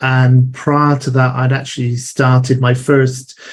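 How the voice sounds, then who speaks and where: In an English accent, a man speaks at a fairly slow pace with a medium pitch and a somewhat breathy voice. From England. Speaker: marketing business owner. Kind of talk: interview.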